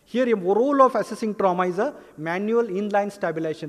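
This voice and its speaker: A man with an Indian accent and a high-pitched voice. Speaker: pediatrician. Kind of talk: lecture. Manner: fast.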